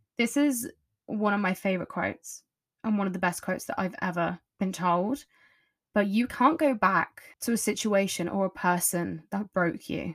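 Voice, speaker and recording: In a very clean recording with a silent background, a woman talks at a moderate pace with an English accent. Her medium-pitched voice is somewhat breathy, with ordinary pitch variation. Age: 20s. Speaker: podcast host. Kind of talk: casual monologue. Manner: chatty.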